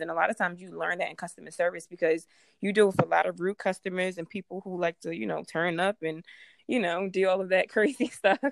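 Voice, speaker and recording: In an ordinary speaking voice with an American accent, a woman talks at a fairly quick pace, her fairly low pitch showing ordinary variation. The sound is dry and close, with no echo. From Baltimore, Maryland. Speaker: nurse and podcast host. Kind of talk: casual chat.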